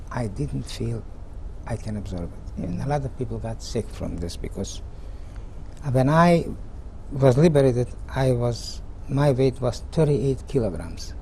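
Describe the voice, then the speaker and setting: Audible room echo around a man's moderate-paced speech, broken by long, frequent pauses. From Czechoslovakia, Mukachevo region. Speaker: Holocaust survivor. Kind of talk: testimony.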